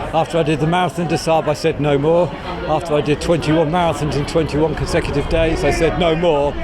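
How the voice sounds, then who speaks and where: A man at a very fast pace, flat and monotone, with very even loudness, audible room echo and noticeable background noise. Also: fairly high pitch for a man. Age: 60s. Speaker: charity marathon runner. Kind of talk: interview.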